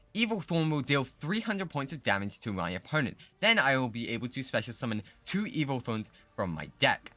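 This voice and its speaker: Over music in the background, a man talks at a fairly quick pace. His medium-pitched voice makes very wide pitch swings. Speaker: gaming streamer. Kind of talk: gameplay commentary. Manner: fast.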